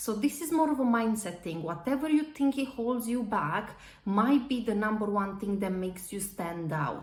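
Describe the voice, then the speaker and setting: Against noticeable background noise, a woman with a slight non-native accent speaks at a moderate pace in a fairly high voice, with lively intonation and hardly any pauses. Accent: slight foreign. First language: not English. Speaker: public speaking coach, property industry speaker. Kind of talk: tutorial.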